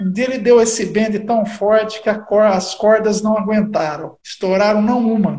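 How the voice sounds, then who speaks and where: A man speaks in a high voice at a fairly slow pace with hardly any pauses and fairly even intonation, over noticeable background noise. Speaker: bass player and historian. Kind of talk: casual chat. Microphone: poor sound quality.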